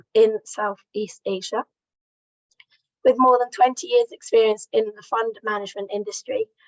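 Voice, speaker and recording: A woman's fairly high-pitched voice with fairly even intonation. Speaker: training event organiser. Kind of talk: introducing speakers at an online training. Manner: reading a prepared introduction.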